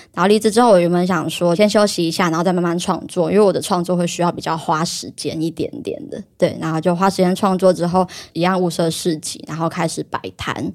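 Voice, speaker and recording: With a normal speaking voice, a woman talks at a fairly quick pace and fairly low pitch, with fairly even intonation and hardly any pauses. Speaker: illustrator and market-stall creator. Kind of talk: casual chat.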